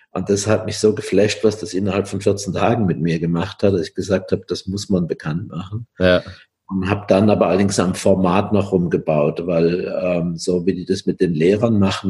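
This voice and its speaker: With a very deep, low pitch, this man talks at a moderate pace, with hardly any pauses and fairly even intonation. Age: 70s. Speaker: coaching trainer and coach, former psychotherapist. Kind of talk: interview.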